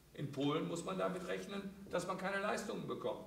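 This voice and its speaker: Audible room echo and light background noise surround a man's voice. He talks at a moderate pace with ordinary pitch variation. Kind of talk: panel discussion talk. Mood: critical, indignant. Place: stage.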